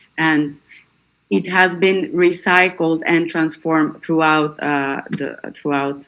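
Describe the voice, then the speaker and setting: A woman speaks very slowly with a non-native accent. Her pitch is very deep and low, with ordinary variation. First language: not English. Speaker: academic presenter. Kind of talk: conference Q&A answer. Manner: halting, many fillers and repeats.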